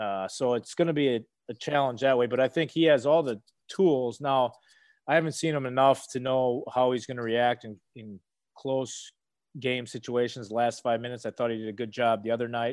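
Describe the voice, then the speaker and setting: A man at medium pitch with an unremarkable speaking voice, fairly even intonation, and a fairly quick pace, on a very clean recording with a silent background. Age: 30s. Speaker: former basketball player. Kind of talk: casual interview.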